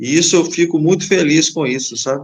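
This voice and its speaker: A normal speaking voice from a man, fairly high in pitch, with ordinary pitch variation and a moderate pace. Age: 60s. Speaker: safety technician instructor. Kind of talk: live stream interview.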